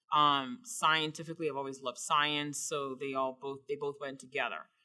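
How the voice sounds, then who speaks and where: A woman speaks at a moderate pace with a slight Bahamian accent, her very deep, low voice bright and sharp in tone, with ordinary pitch variation. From Bahamas. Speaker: surgeon. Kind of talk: interview answers.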